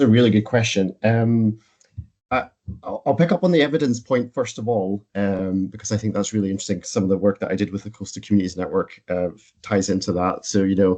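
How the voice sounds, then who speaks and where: Speaking at a very fast pace, a man with a Scottish accent has a fairly low pitch and a dark, mellow tone. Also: ordinary pitch variation. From northern Scotland, Wick. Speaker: coastal charity founder. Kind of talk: panel discussion.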